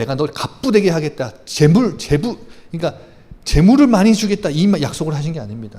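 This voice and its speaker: A man speaks in a high voice with a dark, mellow tone. He goes at a fairly quick pace, and his pitch swings very widely. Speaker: pastor. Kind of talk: sermon. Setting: church. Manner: soft, gentle today; fast.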